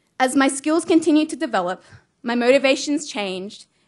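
A woman with an Australian accent speaks at a high pitch. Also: quiet background. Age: 20s. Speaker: vision-impaired athlete. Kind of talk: prepared speech. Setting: stage with audience.

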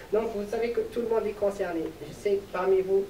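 A man's high-pitched voice, with light background noise and audible room echo. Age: 20s. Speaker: medical student giving a talk; presenter. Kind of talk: public presentation and interview. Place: stage.

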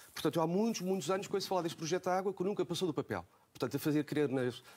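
Talking at a very fast pace, a man delivers his words with lively intonation. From Portugal, Almada; Portugal. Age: 40s. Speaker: local election candidate and schoolteacher; election candidate, schoolteacher. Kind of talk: televised political debate. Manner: halting, many repetitions and fillers. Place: studio. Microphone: lapel.

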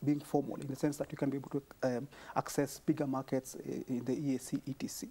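With a Kenyan accent, a man speaks at a fairly quick pace in a fairly high pitch with monotone, flat intonation. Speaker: small business advocate; guest. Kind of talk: TV panel discussion. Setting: TV studio. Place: studio.

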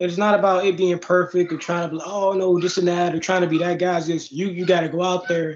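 With an American accent, a man rattles along at a very fast pace and high pitch, hardly pausing, his intonation monotone and flat, over light background noise. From Chicago. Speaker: MMA fighter; interviewee. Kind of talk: casual interview. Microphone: video call.

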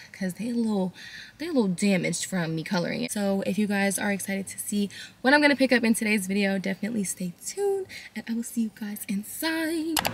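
A woman at a very fast pace, somewhat breathy. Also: big swings in loudness. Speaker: lifestyle vlogger. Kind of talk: casual vlog chat. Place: car.

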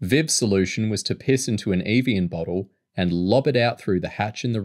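Against a quiet background, the clip is reading aloud in a natural voice.

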